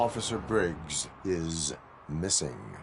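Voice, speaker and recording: A put-on character voice comes through clear background noise. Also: man, very deep, low pitch for a man. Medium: video game. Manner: flat, formal, clipped.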